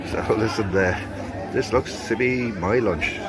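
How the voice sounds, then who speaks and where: Over crowd noise and audible room echo, a man speaks at a medium pitch with an Irish accent. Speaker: travel vlogger. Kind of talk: casual vlog narration. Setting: on a river boat; outdoor market. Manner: loud.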